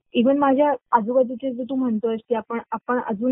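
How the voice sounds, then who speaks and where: A woman's fairly high pitch in an ordinary speaking voice. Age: 20s. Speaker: small business owner, artist. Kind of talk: interview.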